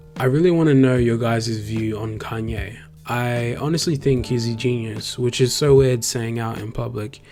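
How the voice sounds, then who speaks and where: Music in the background and audible room echo behind a man with an Australian accent, medium pitch, fairly even intonation, a moderate pace and hardly any pauses. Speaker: graphic designer, YouTuber. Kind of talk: tutorial-style vlog narration. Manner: casual, with filler ums.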